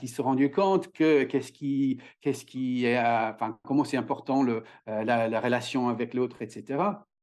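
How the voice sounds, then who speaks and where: A man with an English accent talks at a moderate pace and medium pitch. The background is quiet. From Ireland. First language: English (speaking French). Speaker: communication trainer and author. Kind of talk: podcast interview. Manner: halting, many hesitations.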